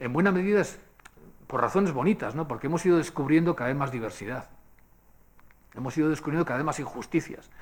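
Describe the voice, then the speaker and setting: A man talks at a very fast pace, his pitch fairly high and his intonation lively. He leaves long, frequent pauses. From Basque Country, Spain. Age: 60s. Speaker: speaker at a public forum. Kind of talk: lecture. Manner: conversational, with frequent fillers.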